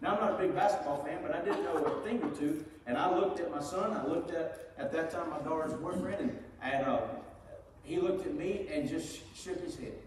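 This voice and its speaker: Someone speaks with an American accent, lively intonation and a fairly quick pace. Light background noise and audible room echo come through. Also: man, high pitch for a man. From Georgia, US South. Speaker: pastor. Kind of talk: sermon. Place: church.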